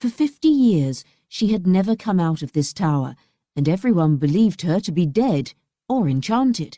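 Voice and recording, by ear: Someone reads aloud in a natural voice, the intonation lively. Behind it, the background stays quiet.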